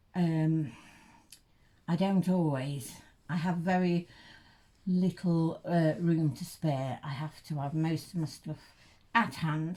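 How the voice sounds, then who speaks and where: A woman with an East Midlands accent speaks very slowly and somewhat breathily, her fairly low voice showing ordinary pitch variation between long, frequent pauses. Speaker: reborn doll collector vlogger. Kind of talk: casual unboxing vlog. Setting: bedroom at home. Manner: halting, many fillers.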